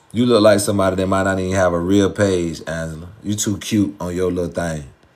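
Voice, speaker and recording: Amid audible room echo and noticeable background noise, a man with a very deep, low pitch speaks fairly quickly with an American accent. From US South. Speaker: dating and relationship advice streamer. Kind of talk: live stream chat with viewers. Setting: live stream. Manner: animated.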